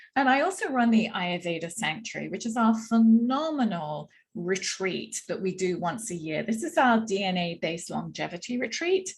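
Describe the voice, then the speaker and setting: A woman with a slight English accent speaks at a moderate pace with hardly any pauses, her medium-pitched, somewhat breathy voice carrying lively intonation. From England, London. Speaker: Ayurveda practitioner. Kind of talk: workshop presentation.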